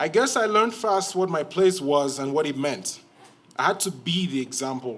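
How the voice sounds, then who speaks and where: Through noticeable background noise, a man with a fairly high pitch speaks at a moderate pace with lively intonation. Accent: Cameroonian. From Cameroon. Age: 20s. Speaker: storyteller. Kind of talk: live storytelling performance. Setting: stage with audience.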